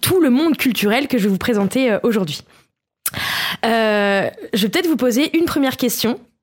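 A high-pitched woman talks at a moderate pace with lively intonation. She leaves long, frequent pauses. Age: 30s. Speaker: podcast columnist. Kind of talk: casual chat.

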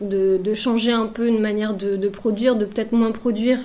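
A woman talks with a fairly high pitch and fairly even intonation. She keeps a moderate pace. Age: 30s. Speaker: clothing brand founder, pattern maker. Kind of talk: radio interview. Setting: radio studio.

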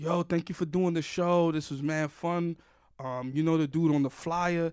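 A man with a New York accent talks at a moderate pace and a fairly high pitch. The recording is very clean, with a silent background. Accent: New York (Bronx) English. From New York City, the Bronx. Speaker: podcast host and stand-up comedian. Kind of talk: casual chat.

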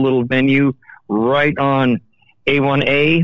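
With a fairly high pitch, a man speaks in an ordinary speaking voice. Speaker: festival stage manager. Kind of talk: casual phone chat. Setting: phone call.

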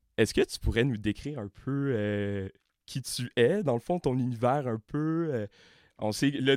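A man with a Quebec accent speaks at a medium pitch with ordinary pitch variation, recorded very cleanly against a silent background with a dry, close sound and no echo. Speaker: university student podcast host. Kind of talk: interview.

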